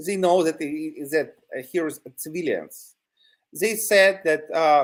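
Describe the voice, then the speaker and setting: Speaking at a fairly slow pace, a man with a Ukrainian accent uses a high pitch with ordinary pitch variation. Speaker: territorial defense volunteer. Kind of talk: news interview. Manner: halting, many fillers.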